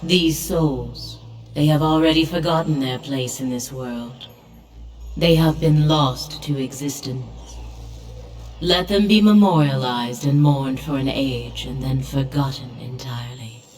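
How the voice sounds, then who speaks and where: A put-on character voice with a low-to-middle pitch. It moves along at a moderate pace. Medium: video game. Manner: measured, aloof.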